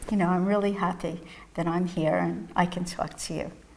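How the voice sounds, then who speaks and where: Here a woman speaks in a New York accent. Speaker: psychotherapist and mindfulness teacher. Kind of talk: interview testimony.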